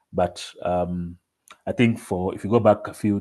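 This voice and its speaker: In fairly even intonation, a man speaks with a very deep, low pitch. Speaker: mental health advocate. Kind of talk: online presentation. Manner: halting, many repetitions; quiet.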